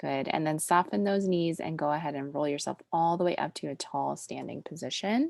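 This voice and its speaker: A woman's soothing tone at a fairly quick pace with hardly any pauses, in a dry, close sound with no echo. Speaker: pilates instructor. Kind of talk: fitness class instruction; casual chat. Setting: video call.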